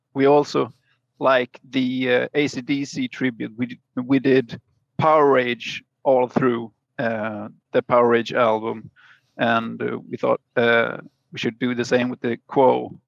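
Monotone, flat delivery with a Swedish accent, at a very slow pace, in a dry, close sound with no echo. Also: man, medium pitch for a man. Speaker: musician. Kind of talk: casual chat. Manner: halting.

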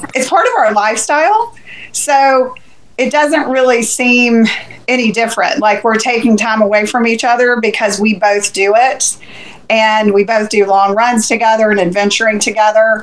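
In a normal speaking voice, a woman with an American accent talks at a moderate pace, her fairly high pitch carried by fairly even intonation. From Central Florida. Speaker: ultrarunner and race crew. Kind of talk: casual chat.

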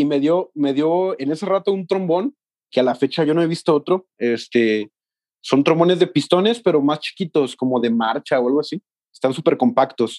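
With lively intonation and a fairly high pitch, a man speaks at a moderate pace in a dry, close sound with no echo. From Mexico, Los Altos de Jalisco. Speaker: music student and band trombonist. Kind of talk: casual interview.

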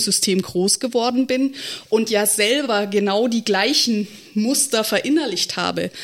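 In a very clean recording with a silent background, a woman with a plain, everyday voice speaks at a fairly high pitch, a fairly slow pace and fairly even intonation. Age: 30s. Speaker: state election candidate, local party board member. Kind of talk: casual podcast discussion.

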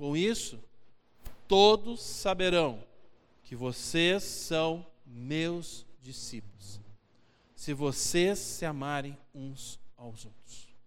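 A man talks in a Brazilian accent at a fairly high pitch. His pitch swings very widely. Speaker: preacher. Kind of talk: sermon, expository Bible teaching to a congregation, with a closing prayer. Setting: church. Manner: earnest and conversational, pausing to repeat key phrases for emphasis; direct, exhorting the listeners, with rhetorical questions.

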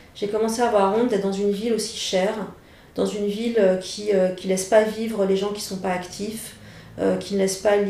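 A woman speaks at a fairly quick pace, her voice carrying audible room echo over noticeable background noise. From France, Saint-Étienne. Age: 40s. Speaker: journalist and author. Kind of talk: personal testimony interview. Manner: halting, many hesitations and repetitions.

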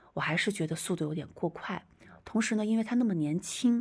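A somewhat breathy woman talks at a moderate pace with lively intonation. The recording is very clean with a silent background. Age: young. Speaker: podcast host and traditional shaman. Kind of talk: storytelling monologue. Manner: hesitant, many filler sounds.

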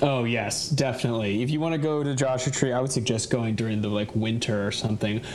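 Speech at a very fast pace with hardly any pauses and fairly even intonation comes through audible room echo and noticeable background noise. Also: man, medium pitch for a man. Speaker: guest, hiker. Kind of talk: casual chat. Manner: laughs often.

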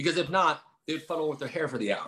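A man's fairly high, bright and sharp voice with vocal fry, at a very fast pace. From Lake Tahoe, California / Nevada (moved from New Jersey at 8). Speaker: personal trainer and gym owner. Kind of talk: casual interview.

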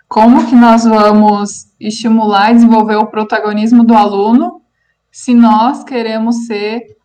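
With a dark, mellow tone, a woman speaks at a fairly high pitch and a fairly slow pace, her intonation fairly even. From Paraná, Brazil. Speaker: aesthetics teacher, podcast co-host. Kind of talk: casual chat. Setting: remote call.

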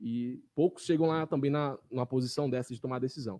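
A man talks at a fairly quick pace, his pitch fairly high for a man. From Brazil, Pará (Jacundá). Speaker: city councillor. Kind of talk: casual interview. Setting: small studio, live stream.

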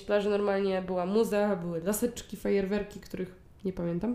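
A plain, everyday voice from a woman, fairly high in pitch and fairly quick. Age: 20s. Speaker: podcast co-host. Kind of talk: casual chat.

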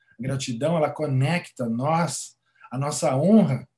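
A man speaks at a fairly high pitch, somewhat breathy. His pace is fairly slow, with ordinary pitch variation. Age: 40s. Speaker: gratitude coach and therapist. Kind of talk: interview conversation.

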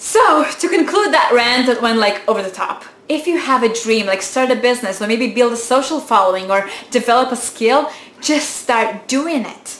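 Speaking at a moderate pace, a woman with a non-native accent uses a high pitch and an animated tone. Noticeable background noise can be heard. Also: lively intonation. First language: not English. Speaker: YouTuber. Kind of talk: motivational talk to camera.

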